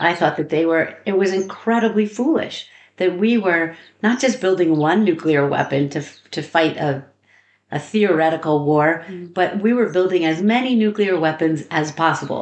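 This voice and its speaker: With an American accent, a woman talks in a normal speaking voice, fairly low in pitch with ordinary pitch variation. Her pace is moderate against a quiet background. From US. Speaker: activism trainer. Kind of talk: interview. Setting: recorded during a training program.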